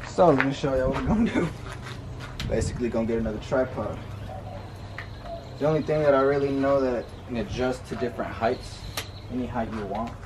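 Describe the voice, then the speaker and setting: A man talks at a very fast pace. Noticeable background noise runs behind him. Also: ordinary pitch variation. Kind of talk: casual tutorial vlog. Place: garden. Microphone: camera far.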